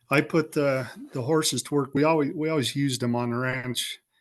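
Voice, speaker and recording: At a moderate pace, a man speaks with a rural western American accent. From Wyoming. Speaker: rancher. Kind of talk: interview.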